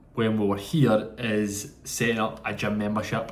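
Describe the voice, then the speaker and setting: At a fairly slow pace, a man with a Scottish accent speaks at medium pitch amid audible room echo. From Scotland. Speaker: vlogger in Ironman training. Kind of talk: travel vlog narration. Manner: casual, chatty.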